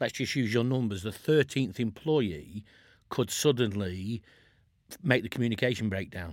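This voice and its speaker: The recording is very clean against a silent background. An ordinary speaking voice carries lively intonation at a moderate pace. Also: man, medium pitch for a man. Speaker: podcast host. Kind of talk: casual interview.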